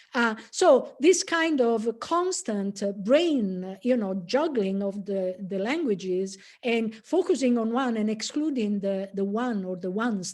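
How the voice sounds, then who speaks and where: Against a quiet background, a woman speaks at a fairly high pitch and a fairly slow pace, with lively intonation. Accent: Italian. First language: Italian. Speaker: professor. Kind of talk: lecture. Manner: halting, many fillers.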